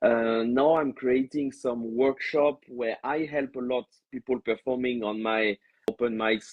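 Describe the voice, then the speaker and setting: Pitched at a medium level, a man talks with a French accent. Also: fairly even intonation. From France. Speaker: stand-up comedian. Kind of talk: interview. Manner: hesitant, many fillers; slow when explaining.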